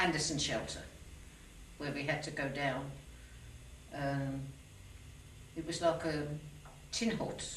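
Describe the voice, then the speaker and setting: A woman with a Birmingham accent speaks at a very deep, low pitch, fairly slowly, with fairly even intonation and long, frequent pauses. Room echo and noticeable background noise are audible. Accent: Birmingham (Brummie) English. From Birmingham, England. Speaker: war veteran. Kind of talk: oral history interview.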